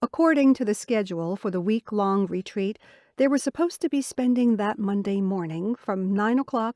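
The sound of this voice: Reading aloud, the speaker has an unforced reading voice.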